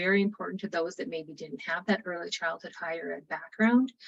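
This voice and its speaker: Moving at a fairly quick pace with hardly any pauses, a woman speaks with ordinary pitch variation. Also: big swings in loudness. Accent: Upper Midwest. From North Dakota. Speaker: state early childhood program presenter. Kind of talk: webinar presentation. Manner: fast.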